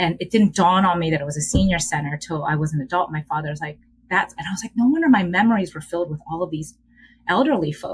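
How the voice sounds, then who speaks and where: A woman with a Korean accent, very fast pace, fairly low pitch, ordinary pitch variation and a somewhat breathy voice. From Philadelphia, US (Upper Darby area). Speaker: educator and DEI leader, podcast guest. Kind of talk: casual interview, personal storytelling.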